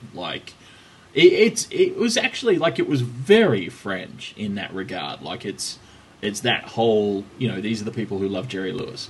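A man with a Melbourne accent at a moderate pace, with big swings in loudness. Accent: Australian, Melbourne-type. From Australia. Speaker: cycling podcast host. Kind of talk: casual banter chat.

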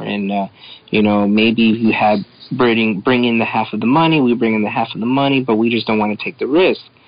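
A normal speaking voice from a man, medium in pitch, fairly quick and fairly even in intonation. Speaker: comic creator. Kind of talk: casual chat.

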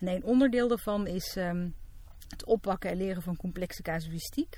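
A woman speaks at a moderate pace with ordinary pitch variation, a medium pitch, a dark, mellow tone and a somewhat breathy quality. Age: 40s. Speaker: psychologist. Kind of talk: casual chat.

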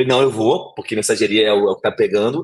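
A man speaks at a very fast pace with a slight Rio de Janeiro accent. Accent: slight carioca. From Rio de Janeiro, Brazil. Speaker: fintech executive. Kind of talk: interview. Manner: halting.

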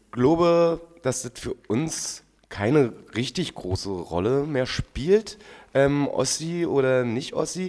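A man talks at a very slow pace. His fairly high voice carries lively intonation. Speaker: podcast co-host. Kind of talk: casual chat.

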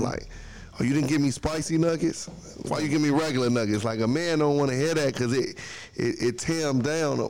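Using a plain, everyday voice, a man talks at a fairly quick pace with fairly high pitch, fairly even intonation, and very even loudness. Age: 30s. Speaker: small business owner. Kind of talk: casual chat.

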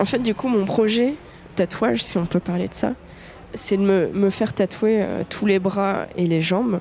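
A woman talks at a fairly slow pace with ordinary pitch variation and very even loudness, over noticeable background noise. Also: medium pitch for a woman. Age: 20s. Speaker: tattoo enthusiast interviewee. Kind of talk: personal storytelling monologue. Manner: casual with frequent hesitations.

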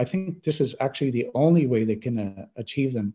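In a Canadian accent, this somewhat breathy voice has a dark, mellow tone, ordinary pitch variation and a moderate pace. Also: man. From Canada. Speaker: telecom chief technology officer. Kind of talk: interview.

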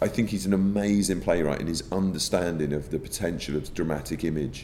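Speaking at a fairly quick pace with an English accent, a man uses a very deep, low voice with vocal fry. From England. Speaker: theatre director. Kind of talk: interview. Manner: halting, repeating words.

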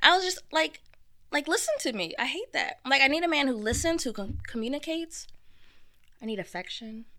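Her voice raised and projected, a woman with a high pitch and a bright, sharp tone speaks at a fairly quick pace with very wide pitch swings. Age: 30s. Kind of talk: casual interview. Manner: playful, laughing.

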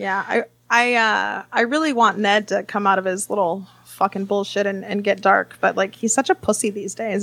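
A woman's ordinary speaking voice, medium in pitch, at a moderate pace in a very clean recording with a silent background. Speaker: comedian. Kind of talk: casual comedic banter.

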